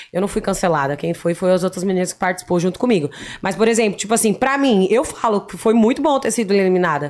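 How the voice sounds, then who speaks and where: A woman at medium pitch races along at a very fast pace with lively intonation. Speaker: influencer, former reality show contestant. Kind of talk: casual chat. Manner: spontaneous.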